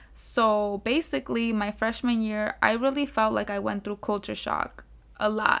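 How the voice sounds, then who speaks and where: Here a woman speaks with a South Florida accent at a fairly high pitch. Her pace is moderate and her pitch varies in an ordinary way. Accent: South Florida American English. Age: 20s. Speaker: podcast host, college student. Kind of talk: casual monologue. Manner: casual, filler-heavy.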